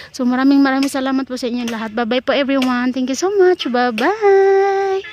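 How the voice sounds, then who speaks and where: Against noticeable background noise, a woman speaks at a high pitch with lively intonation and hardly any pauses. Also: fairly quick pace. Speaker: gardening vlogger. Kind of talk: casual vlog narration. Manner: loud; fast.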